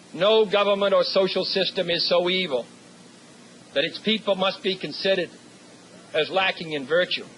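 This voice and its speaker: A high-pitched man with an American accent, long and frequent pauses, and noticeable background noise. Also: ordinary pitch variation, moderate pace. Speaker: U.S. president giving a commencement address. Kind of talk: formal commencement speech. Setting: podium speech to a live audience, 1963 recording. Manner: measured, oratorical.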